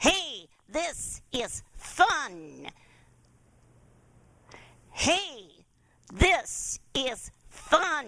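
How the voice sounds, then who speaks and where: Pitched high and nasal, a put-on character voice moves at a very slow pace with long, frequent pauses. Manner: ventriloquist-style, lips not moving.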